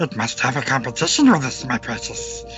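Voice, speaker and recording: Clear music is playing in the background. Over it, a man delivers his lines in a put-on character voice. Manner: hissing, whispering; talks to himself as my precious.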